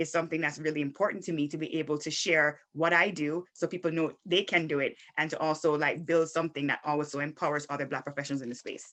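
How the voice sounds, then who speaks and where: A woman's very deep, low voice, very fast, with fairly even intonation. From Jamaica. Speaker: sports marketing manager and former athlete. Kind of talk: podcast interview. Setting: podcast recording.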